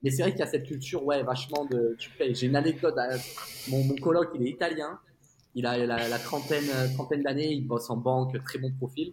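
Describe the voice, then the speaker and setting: A man with a plain, everyday voice, medium in pitch, with fairly even intonation at a fairly quick pace. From France. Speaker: tech sales executive, expatriate. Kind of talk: casual interview chat.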